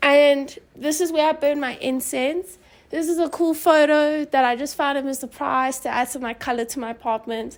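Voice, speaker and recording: With a Johannesburg accent, a woman speaks at a moderate pace in a high voice. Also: fairly even intonation. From South Africa, Johannesburg. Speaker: university student. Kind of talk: casual home tour interview. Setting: her apartment, filmed on camera.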